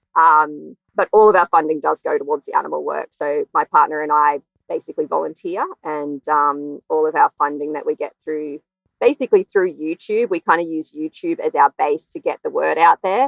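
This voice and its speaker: A woman speaks with an Australian accent in a dry, close sound with no echo. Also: moderate pace. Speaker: veterinarian. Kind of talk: interview.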